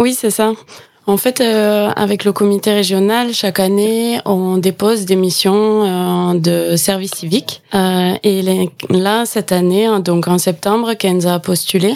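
A woman talks at a very slow pace in a calm tone, her medium pitch held to fairly even intonation. Her loudness stays very even throughout. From Gers, southwest France. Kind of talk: radio interview.

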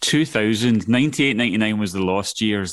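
Heard in a very clean recording with a silent background, a man speaks with a Scottish accent. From Scotland, Glasgow area. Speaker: filmmaker. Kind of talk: casual interview chat. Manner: animated.

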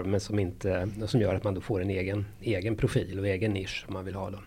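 A man talks with a fairly low pitch and a dark, mellow tone. His voice is somewhat breathy. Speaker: pediatrician and parenting author. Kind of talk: interview.

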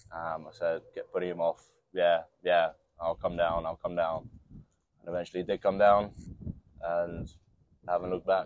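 Very deep and low, a man's voice moves at a moderate pace in a monotone, flat intonation, broken by long, frequent pauses. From New Zealand, Nelson. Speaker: amateur rugby player. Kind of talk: interview.

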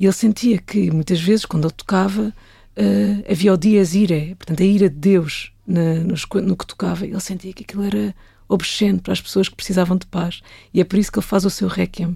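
A woman at a medium pitch speaks at a fairly quick pace, her tone dark and mellow, somewhat breathy, with fairly even intonation. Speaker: film director. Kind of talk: casual interview chat.

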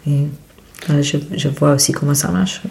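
A woman with a very deep, low pitch speaks amid audible room echo and noticeable background noise. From India, Mumbai. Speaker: photobook publisher and photographer. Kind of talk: interview. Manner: halting.

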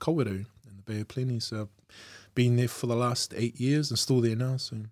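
A man with a New Zealand accent, dark and mellow in tone, at a fairly quick pace with fairly even intonation, in a very clean recording with a silent background. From Auckland, New Zealand. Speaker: guest. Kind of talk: casual chat.

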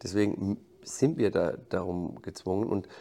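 His intonation is fairly even. The man talks at a fairly low pitch. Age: 50s. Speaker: football coach. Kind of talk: interview. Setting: stadium backstage room. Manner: halting, repeats words.

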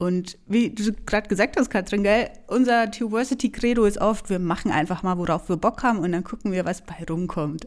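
A woman with a Franconian accent speaks at a medium pitch. Her intonation is lively and her pace fairly quick. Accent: Franconian, rolled R. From Franconia, Germany. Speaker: podcast host, theologian, doctoral student. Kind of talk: casual chat.

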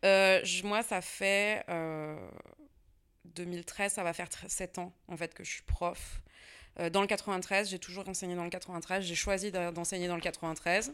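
This woman talks very slowly, with long, frequent pauses and a medium pitch. Her intonation is monotone and flat, and the recording is very clean with a silent background. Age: 30s. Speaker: history and geography teacher, author. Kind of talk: interview conversation. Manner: casual, hesitant with fillers.

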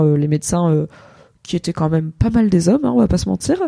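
In a dry, close sound with no echo, a woman with a fairly low pitch and a dark, mellow tone speaks with lively intonation. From France, Paris. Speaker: content creator, podcast host. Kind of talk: casual chat. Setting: Twitch livestream.

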